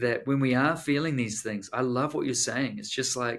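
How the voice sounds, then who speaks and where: A man with a New Zealand accent talks at a moderate pace, his medium-pitched voice keeping fairly even intonation. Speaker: author and pastor. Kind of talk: podcast interview.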